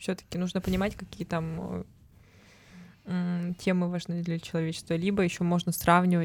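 A woman's medium-pitched voice, an ordinary speaking voice. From Altai Krai, Russia. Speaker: podcast co-host. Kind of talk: casual chat.

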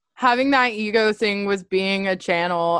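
Moderate-paced woman, a normal speaking voice at medium pitch. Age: 20s. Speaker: podcast host and psychology student. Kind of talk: casual chat. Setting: video call.

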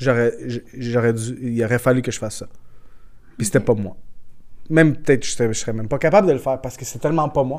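Talking at a very fast pace, a man with a medium pitch shows ordinary pitch variation and big swings in loudness. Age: 30s. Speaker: football scout. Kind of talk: casual interview. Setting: café.

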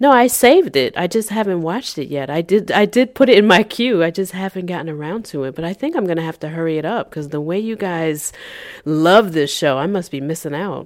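With an unremarkable speaking voice, a woman talks at a fairly quick pace, her pitch fairly low, her intonation lively, and her loudness swinging widely. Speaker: podcast co-host. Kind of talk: casual chat.

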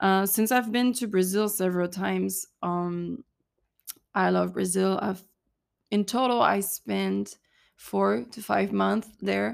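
A woman with a French accent talks at a very slow pace. Her speech has long, frequent pauses. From southern France, Cannes. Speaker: podcast host, mental coach. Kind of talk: solo podcast monologue.

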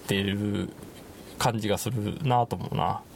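There is noticeable background noise as a man speaks in a Kansai accent. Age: 30s. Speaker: podcast host. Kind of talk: casual chat. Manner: halting, many fillers.

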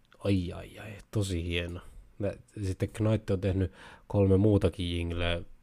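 Very deep and low, a man's dark, mellow voice moves at a very slow pace in a monotone, flat delivery with big swings in loudness, captured in a very clean recording with a silent background. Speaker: podcast host. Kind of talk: casual live-stream podcast monologue. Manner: rambling, runs off on tangents; halting, many fillers and restarts.

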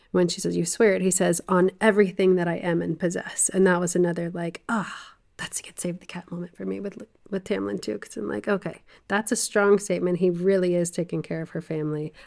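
Her voice is an unremarkable speaking voice: a woman with an American accent, fairly low pitch, ordinary pitch variation, a fairly quick pace and big swings in loudness. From US South. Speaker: podcast co-host, book discussion. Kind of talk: casual chat about a book.

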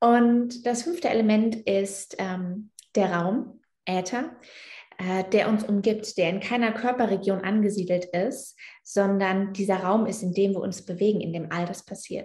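A woman's medium-pitched, somewhat breathy voice with a dark, mellow tone, fairly even intonation, and a fairly slow pace. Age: 20s. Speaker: yoga teacher. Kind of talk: casual interview.

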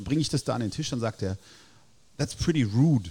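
A man of medium pitch talks at a fairly quick pace with lively intonation and a somewhat breathy, dark, mellow tone. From Germany, Heidelberg. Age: 40s. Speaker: burger restaurant owner. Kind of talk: casual interview. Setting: in person at his restaurant.

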